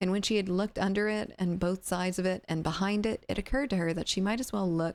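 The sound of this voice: What comes through is an unforced reading voice.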